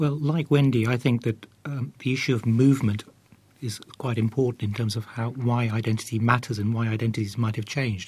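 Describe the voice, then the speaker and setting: A man with a British accent and a medium pitch speaks fairly quickly with fairly even intonation, sounding somewhat breathy. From East Africa, moved to the UK. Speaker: academic. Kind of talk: academic discussion.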